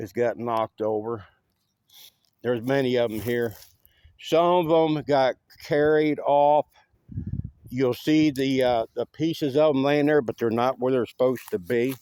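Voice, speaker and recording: Speaking with an Appalachian accent, a man talks at a fairly slow pace and medium pitch, leaving long, frequent pauses. The sound is dry and close with no echo. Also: ordinary pitch variation. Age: 60s. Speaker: volunteer cemetery cleaner. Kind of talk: casual video walkthrough. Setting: outdoors. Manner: casual, hesitant with fillers.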